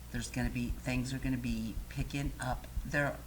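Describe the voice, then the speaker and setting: The speaker has an American accent. Audible echo fills the room. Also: woman. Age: 50s. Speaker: talk show host. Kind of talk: casual chat.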